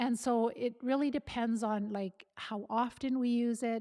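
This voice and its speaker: A woman's voice with a dark, mellow tone and fairly high pitch, at a moderate pace with fairly even intonation, dry and close with no echo. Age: 60s. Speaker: health educator. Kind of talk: educational talk. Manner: casual, with frequent fillers and restarts.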